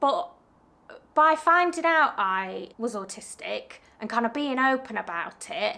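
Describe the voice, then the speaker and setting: Raising and projecting her high-pitched voice, a woman speaks at a fairly slow pace with a bright, sharp tone and very wide pitch swings. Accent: British. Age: 30s. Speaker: small business owner and vlogger. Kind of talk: casual Q&A vlog. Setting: home studio.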